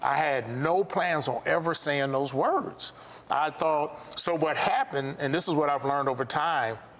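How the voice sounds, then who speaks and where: A man with an American accent speaks at a moderate pace in a fairly high pitch, with fairly even intonation and very even loudness. Noticeable background noise sits behind him. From US Midwest, South Side Chicago. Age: 60s. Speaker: architect and contractor, abuse survivor. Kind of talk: testimony. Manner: halting.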